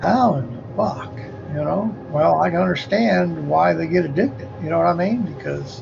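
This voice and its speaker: In a room with audible echo and music in the background, a man speaks at a medium pitch with very wide pitch swings. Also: moderate pace. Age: 60s. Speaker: livestreamer. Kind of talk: casual monologue. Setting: livestream. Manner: animated.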